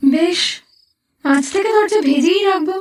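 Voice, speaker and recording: Extremely high-pitched put-on character voice from a woman. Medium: audio drama. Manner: plain, guileless.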